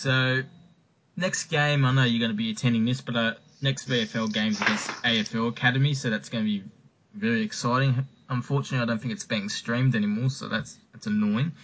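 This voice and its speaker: Amid noticeable background noise, a man with an Australian accent speaks at a medium pitch and a fairly quick pace, with ordinary pitch variation. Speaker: podcast host. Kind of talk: casual chat.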